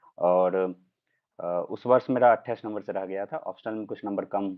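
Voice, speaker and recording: This man speaks with a Bihar accent at a fairly low pitch. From Bihar, Madhubani district (Mithila region). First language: Maithili (speaking Hindi). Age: 20s. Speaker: civil services exam topper. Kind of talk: live interview / Q&A. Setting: livestream. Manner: hesitant, frequent filler 'uh'.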